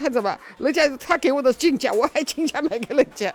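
With music in the background, a woman talks at a fairly quick pace, her pitch swinging very widely. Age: 70s. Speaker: stall owner selling daily goods. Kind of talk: interview.

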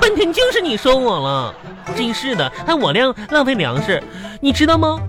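With faint music in the background, a woman does a put-on character voice, high-pitched and fairly bright in tone, with very wide pitch swings. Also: moderate pace.

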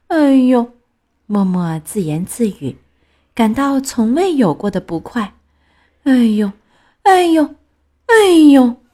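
A woman speaks very slowly in a high, dark and mellow voice, with long, frequent pauses and very wide pitch swings. The recording is very clean, with a silent background. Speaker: children's storyteller. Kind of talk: reading aloud picture book to children. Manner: expressive storytelling voice.

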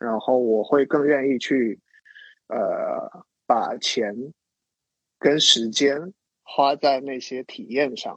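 This man talks at a very slow pace, leaving long, frequent pauses. His loudness swings widely from moment to moment. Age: 30s. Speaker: designer and illustrator, lifestyle blogger. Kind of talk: casual interview chat.

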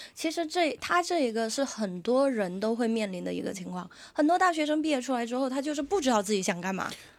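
A woman talks at a very fast pace with hardly any pauses. Her high pitch makes very wide swings. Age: 30s. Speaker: podcast host and comedy show organizer. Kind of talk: casual chat.

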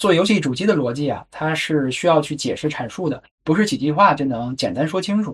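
Here is a man with an unremarkable speaking voice and a fairly high pitch. He talks at a fairly quick pace with lively intonation. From China. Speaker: podcast host. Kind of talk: solo narrative podcast.

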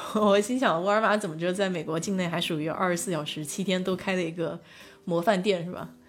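Through audible room echo, a woman at a medium pitch speaks at a fairly quick pace with fairly even intonation. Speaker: livestream host. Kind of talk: casual chat. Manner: hesitant, many filler sounds.

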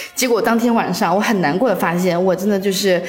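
The speaker's intonation stays fairly even, with music in the background and audible room echo. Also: woman. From northeast China. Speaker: office worker. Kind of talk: casual chat.

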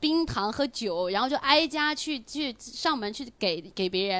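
A woman uses a raised, projected voice at a moderate pace. Her tone is bright, sharp and animated, with very wide pitch swings. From rural village, not Beijing or Shanghai. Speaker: stand-up comedian and podcast co-host. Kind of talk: casual chat. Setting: live recording with audience.

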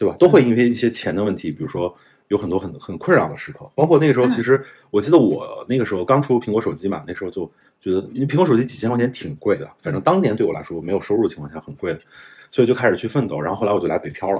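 With very wide pitch swings, big swings in loudness and some vocal fry, a man talks at a very fast pace at a medium pitch. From northern China. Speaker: investor. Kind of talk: interview. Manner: casual.

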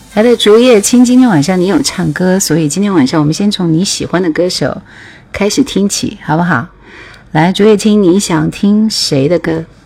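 There is noticeable background noise as a woman speaks at a medium pitch. Her pace is moderate and her intonation lively. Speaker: radio DJ hosting a music livestream. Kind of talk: casual livestream chat between songs. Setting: online livestream.

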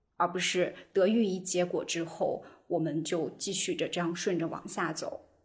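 Medium pitch and a somewhat breathy quality in a woman's voice. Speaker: podcast host. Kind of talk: casual chat. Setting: video call.

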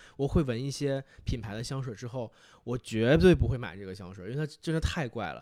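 Speaking at a moderate pace with lively intonation, a man with a medium pitch has an ordinary speaking voice on a very clean recording with a silent background. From Northeast China, Fushun, Liaoning. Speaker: podcast guest, fragrance enthusiast. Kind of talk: casual chat.

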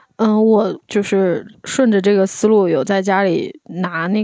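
Dark and mellow in tone, a woman's medium-pitched voice carries fairly even intonation, with a dry, close sound that has no echo and a quiet background. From Anhui, China. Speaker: podcast guest, visiting friend. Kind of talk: casual chat.

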